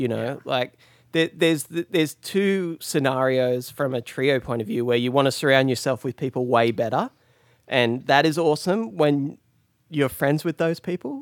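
On a very clean, dry, close recording with a silent background and no echo, a man with an Australian accent talks at a moderate pace in a fairly high voice with ordinary pitch variation. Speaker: guitarist. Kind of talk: interview.

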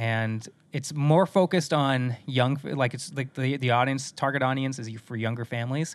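A man with an American accent talks in an ordinary speaking voice at medium pitch and a moderate pace, his intonation fairly even, on a very clean recording with a silent background. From US Midwest, South Dakota. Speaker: voice actor. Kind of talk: casual chat. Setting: home recording booth.

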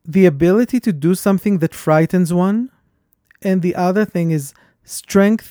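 A man's high-pitched, dark, mellow voice with a non-native accent and ordinary pitch variation, in a very clean recording with a silent background and a dry, close sound with no echo. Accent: foreign-accented English. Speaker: podcast host. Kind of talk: casual conversation.

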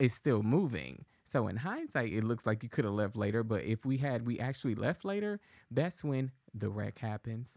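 A man with an American accent and a plain, everyday voice speaks at medium pitch and a moderate pace with ordinary pitch variation, recorded very cleanly with a silent background. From Texas, Dallas (Oak Cliff). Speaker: podcast producer and co-host. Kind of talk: casual chat. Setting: studio.

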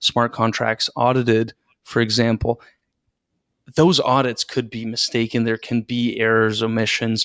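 A man with a Canadian accent speaks in an ordinary speaking voice at medium pitch and a moderate pace, with fairly even intonation. The recording is very clean, with a silent background and a dry, close sound with no echo. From Canada, Toronto area. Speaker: securities lawyer and podcast host. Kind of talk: interview conversation.

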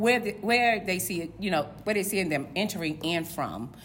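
With an American accent, a woman talks in lively intonation while audible room echo surrounds her voice. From Virginia, Portsmouth (Tidewater). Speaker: code enforcement official. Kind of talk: interview. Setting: at a conference.

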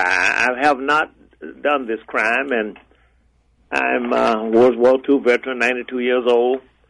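Here is a man with an unremarkable speaking voice at a medium pitch, in an American accent. He talks at a fairly slow pace. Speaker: former transit authority chief seeking exoneration. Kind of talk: radio interview. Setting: phone call.

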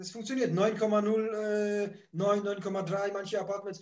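Audible room echo surrounds this man's voice. He talks at a very slow pace in a high pitch. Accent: Polish. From Poland, moved to Germany at age nine. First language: Polish (speaking German). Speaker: holiday rental landlord and YouTuber. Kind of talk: interview.

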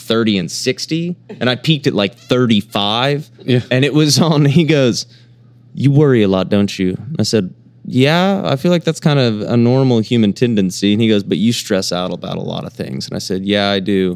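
In a normal speaking voice, a man of medium pitch talks at a moderate pace with lively intonation. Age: 30s. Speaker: musician. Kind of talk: casual chat. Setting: studio.

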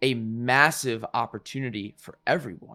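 In a very clean recording with a silent background, a man with an ordinary speaking voice talks at a fairly slow pace and a medium pitch. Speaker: podcast host. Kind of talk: casual interview chat.

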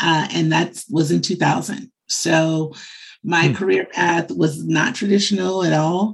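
A woman with an American accent speaks at a fairly slow pace, with vocal fry. Her loudness stays very even. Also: fairly low pitch for a woman, ordinary pitch variation. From Chicago, US Midwest. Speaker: media marketing executive. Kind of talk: interview.

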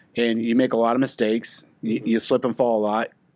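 The speech has an American accent and a monotone, flat intonation at a fairly quick pace. The recording is very clean, with a silent background. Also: man. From Oklahoma. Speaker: insurance professional, former Marine. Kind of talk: casual interview chat. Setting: studio/office.

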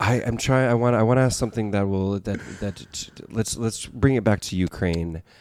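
A man with a plain, everyday voice talks at a fairly low pitch, his pitch varying in an ordinary way. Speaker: podcast co-host. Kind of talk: casual chat.

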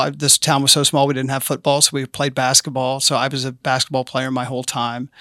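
With a slight Southern US accent, a man speaks at a fairly high pitch in a bright, sharp tone, monotone and flat, with a dry, close sound and no echo. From rural Arkansas. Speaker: city council candidate. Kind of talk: interview.

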